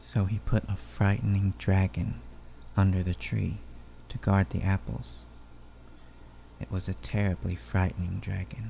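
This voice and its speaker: A soft-spoken man with a very deep, low pitch and a dark, mellow tone talks at a fairly slow pace with vocal fry. His pitch swings very widely, and he takes long, frequent pauses. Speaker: ASMR channel host. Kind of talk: ASMR bedtime story reading. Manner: soft-spoken, relaxing.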